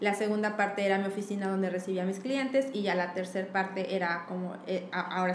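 A woman's medium-pitched voice at a fairly quick pace, with audible room echo and noticeable background noise. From Mexico City. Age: 30s. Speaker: illustrator. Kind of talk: casual chat. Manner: animated.

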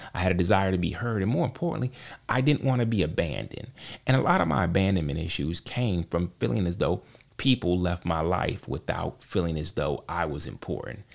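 In a very clean recording with a silent background, a man with vocal fry and a very deep, low pitch talks at a fairly quick pace. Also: lively intonation. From US South, Charlotte, North Carolina. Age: 40s. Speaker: podcast co-host, IT worker and father. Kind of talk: casual interview, personal testimony. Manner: halting, many repetitions.

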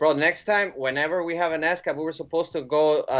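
This man speaks in a normal speaking voice at a fairly quick pace. His intonation stays fairly even. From Chicago. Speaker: podcast co-host. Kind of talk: casual interview.

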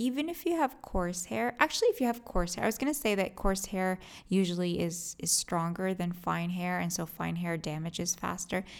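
A woman speaks at a moderate pace with lively intonation. She barely pauses at all. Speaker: hairstylist podcast host. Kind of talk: tutorial. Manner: low-energy.

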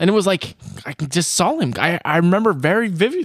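In a very clean recording over a silent background, a man talks in an animated tone, his pitch swinging very widely. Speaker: podcast host, hunter. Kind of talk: casual chat.

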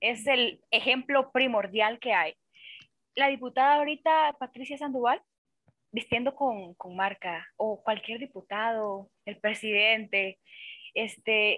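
This woman has a plain, everyday voice, pitched fairly high with ordinary pitch variation. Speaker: podcast guest. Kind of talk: casual chat.

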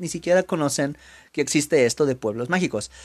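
The pace from this man is very fast. His pitch shows ordinary variation. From Mexico. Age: 30s. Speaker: language teacher. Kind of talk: educational monologue for Spanish learners.

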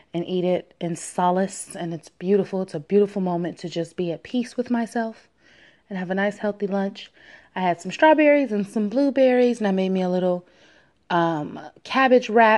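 An animated, playful woman's voice at a medium pitch, with ordinary pitch variation over a quiet background. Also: moderate pace. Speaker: podcast host. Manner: animated, playful and loose, laughing and joking, slangy; upbeat, warm and breezy, rambling off the cuff.

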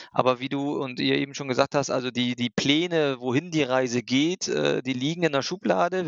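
At a moderate pace, the speaker uses an ordinary speaking voice. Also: man. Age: 40s. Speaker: startup founder. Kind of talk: casual interview.

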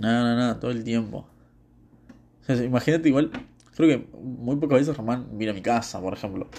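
With a Rioplatense accent, a man talks at a moderate pace and medium pitch, using ordinary pitch variation and long, frequent pauses. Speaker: podcaster. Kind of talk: casual monologue. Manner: rambling, halting.

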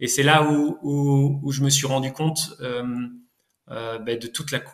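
A man with a fairly high pitch and a somewhat breathy voice speaks very slowly with fairly even intonation and long, frequent pauses. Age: 30s. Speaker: market gardener and orchard farmer. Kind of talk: interview testimony. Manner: halting, many hesitations.

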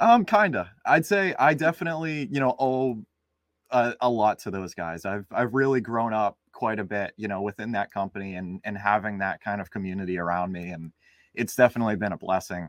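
An American-accented man with a fairly low voice, an unremarkable speaking voice, talks at a fairly quick pace with lively intonation and big swings in loudness, in a dry, close recording with no echo and a quiet background. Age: 20s. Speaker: real estate investor. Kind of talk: interview.

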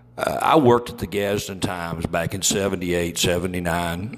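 With an Alabama accent, a man speaks in a very deep, low pitch and fairly even intonation. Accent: Southern US (Alabama). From US South. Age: 50s. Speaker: podcast host. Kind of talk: political commentary.

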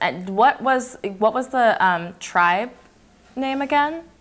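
A woman at a fairly slow pace, her pitch swinging very widely. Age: 20s. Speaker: podcast host. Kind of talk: casual interview. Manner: talkative, laughs often.

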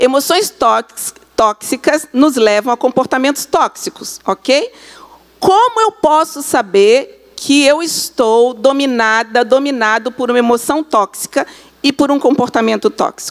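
A woman's high-pitched voice with lively intonation and very even loudness, at a fairly slow pace, in a dry, close sound with no echo, over noticeable background noise. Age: 50s. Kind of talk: church talk.

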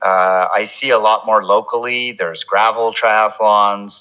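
A man with a Canadian accent talks at a fairly slow pace. Noticeable background noise runs behind him. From Quebec, Montreal. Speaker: physician and triathlon coach. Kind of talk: casual interview.

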